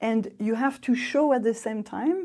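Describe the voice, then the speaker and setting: A woman with a French accent speaks in a fairly high, dark, mellow voice with ordinary pitch variation, recorded very cleanly against a silent background. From France. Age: 50s. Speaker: expat interviewee. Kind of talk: interview storytelling.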